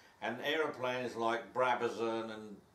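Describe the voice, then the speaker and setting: A medium-pitched man at a fairly slow pace, with audible room echo. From Somerset, west of England. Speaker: host father, English immigrant. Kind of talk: casual interview. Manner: relaxed, with some hesitations.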